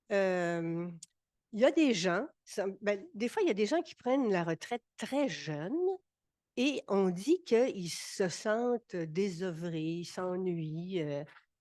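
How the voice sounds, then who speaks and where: The recording is dry and close with no echo, set against a quiet background. A woman speaks at a very slow pace and medium pitch with ordinary pitch variation. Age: 70s. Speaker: retired senior panelist. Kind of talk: panel discussion. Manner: halting, many repetitions.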